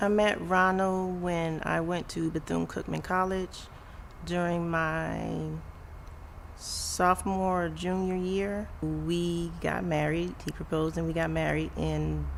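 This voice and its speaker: There's audible room echo around a woman's voice. She speaks at a fairly slow pace. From Florida, West Palm Beach. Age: 40s. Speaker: parent of abused child. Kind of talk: interview testimony.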